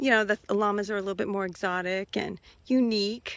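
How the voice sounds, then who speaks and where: With a normal speaking voice, a woman talks at a moderate pace and ordinary pitch variation. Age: 50s. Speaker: hobby farmer. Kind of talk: casual talk to camera.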